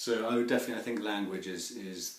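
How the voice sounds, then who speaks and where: A man speaks at a very fast pace in a London accent. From London, England. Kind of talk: interview answer. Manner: hesitant, frequent fillers.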